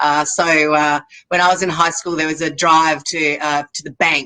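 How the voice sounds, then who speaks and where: In a bright, sharp tone, a woman talks with an Australian accent. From Australia, Sydney. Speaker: makeup artist. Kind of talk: interview. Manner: halting.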